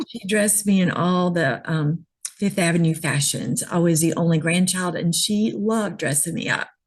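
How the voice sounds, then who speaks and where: Her voice fairly low, a woman speaks at a moderate pace with ordinary pitch variation. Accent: American. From New York City, then Georgia from late teens. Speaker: image consultant. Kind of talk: interview.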